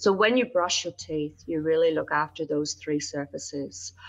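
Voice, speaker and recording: A woman with a Northern Irish accent speaks at a moderate pace in a very deep, low voice with vocal fry. Her pitch swings very widely. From Northern Ireland (Belfast). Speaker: dentist. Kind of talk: interview. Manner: hesitant fillers.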